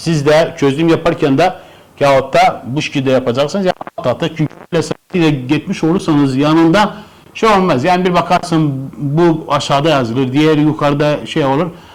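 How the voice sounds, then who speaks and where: A man speaks at a moderate pace in a normal speaking voice, his pitch fairly high, with ordinary pitch variation and very even loudness. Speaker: math teacher. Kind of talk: tutorial.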